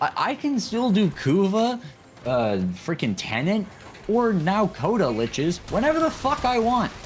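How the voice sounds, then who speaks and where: A man's high voice with very wide pitch swings and very even loudness. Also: moderate pace. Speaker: gaming streamer. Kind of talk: casual chat. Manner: slurring words.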